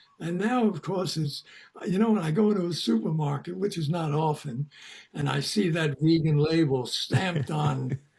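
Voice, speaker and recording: A man's fairly high voice at a moderate pace, ordinary pitch variation, noticeable background noise. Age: 80s+. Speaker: founder of a vegan community, longtime activist. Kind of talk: interview.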